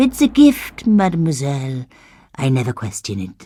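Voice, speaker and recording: Someone speaks at a moderate pace in a put-on character voice. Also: man, fairly high pitch for a man. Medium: video game. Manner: wry, teasing.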